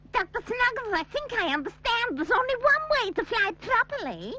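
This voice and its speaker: Someone races along at a fairly quick pace in a cartoonish character voice with an extremely high pitch. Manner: brisk, instructive.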